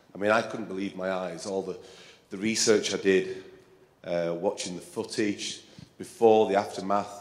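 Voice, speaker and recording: In an English accent, a man with a fairly low voice speaks at a fairly slow pace in a flat monotone, with audible room echo around him. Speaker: composer and percussionist. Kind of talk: talk to concert audience. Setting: stage with audience. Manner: halting, with many fillers.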